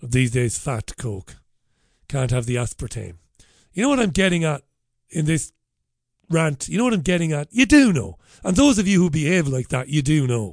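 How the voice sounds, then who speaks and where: Speaking at a moderate pace with long, frequent pauses, a man with a strong Irish accent uses a fairly high pitch, very wide pitch swings and a somewhat breathy voice against a quiet background. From Ireland. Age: 50s. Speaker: radio show host. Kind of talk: casual talk radio. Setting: studio. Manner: animated.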